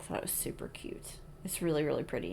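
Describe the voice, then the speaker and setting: A plain, everyday voice from a woman, pitched fairly low and carrying fairly even intonation. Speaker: cross-stitch video creator. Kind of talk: casual hobby vlog.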